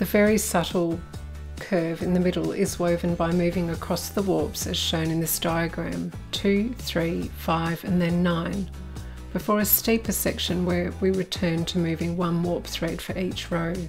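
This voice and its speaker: Over music in the background, a woman with an Australian accent speaks at a fairly slow pace in a calm tone. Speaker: weaving teacher, designer and artist. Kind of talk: craft tutorial narration. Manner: calm, instructional.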